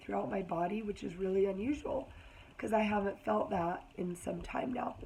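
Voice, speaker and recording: Lively intonation carries a moderate pace over noticeable background noise. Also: woman. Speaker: health vlogger. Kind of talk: casual vlog talk.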